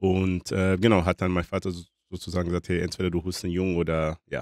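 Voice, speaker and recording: A man's very deep, low voice at a fairly quick pace, dry and close with no echo, in a very clean recording with a silent background. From DR Congo. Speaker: author. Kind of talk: casual interview. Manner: hesitant with many fillers.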